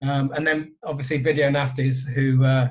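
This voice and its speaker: Speaking in a flat monotone, a man has a fairly high pitch. His voice is somewhat breathy. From southern England. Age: 50s. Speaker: record label owner. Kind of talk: podcast interview.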